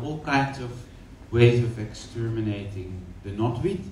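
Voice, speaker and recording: Over noticeable background noise and audible room echo, a man talks at a medium pitch and a fairly slow pace. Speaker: aroma lab presenter. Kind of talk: presentation.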